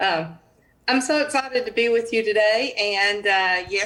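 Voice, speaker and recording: Woman with a Southern US accent, fairly high pitch and ordinary pitch variation, at a fairly slow pace. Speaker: college dean. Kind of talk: live Q&A answer.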